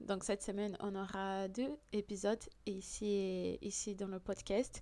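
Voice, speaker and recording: A woman with a Portuguese accent and a dark, mellow tone is heard on a very clean recording with a silent background. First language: Portuguese (speaking French). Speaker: podcast host. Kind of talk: podcast monologue. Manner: hesitant, many fillers.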